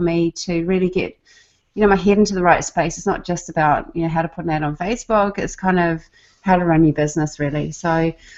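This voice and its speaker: Here a woman with a New Zealand accent speaks at a fairly low pitch. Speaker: online marketer, former nurse. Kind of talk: casual group video chat.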